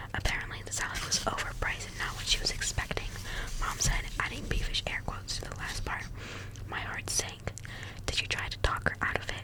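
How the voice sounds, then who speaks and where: Noticeable background noise runs under a woman's fairly quick whispering. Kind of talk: audiobook-style reading of a novel. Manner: soft-spoken.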